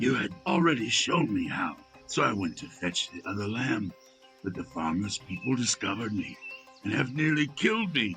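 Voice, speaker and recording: Putting on a character voice at medium pitch, a man speaks at a moderate pace with clear music in the background. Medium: read story. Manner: demanding, gruff.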